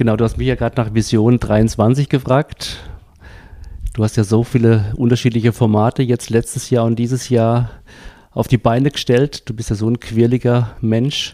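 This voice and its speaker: The voice has a dark, mellow tone and monotone, flat intonation in a dry, close sound with no echo. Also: man, medium pitch for a man, moderate pace. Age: 50s. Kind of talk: interview. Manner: hesitant, many filler sounds.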